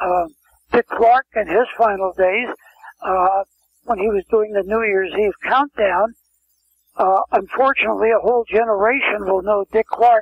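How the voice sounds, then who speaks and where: With long, frequent pauses, a high-pitched man talks at a fairly slow pace and ordinary pitch variation. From US West Coast, San Francisco. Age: 80s+. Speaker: talent agent. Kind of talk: interview. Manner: halting.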